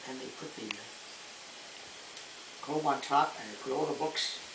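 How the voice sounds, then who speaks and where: Over noticeable background noise, a man speaks with a fairly high pitch and ordinary pitch variation. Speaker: grandfather telling stories. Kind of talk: storytelling, recounting childhood memories. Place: home room. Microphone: camera far.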